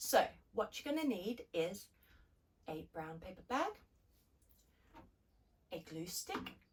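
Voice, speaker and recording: A very slow, upbeat, somewhat breathy delivery with long, frequent pauses, big swings in loudness and very wide pitch swings. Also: woman, medium pitch for a woman. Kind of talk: children's craft tutorial. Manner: upbeat, friendly.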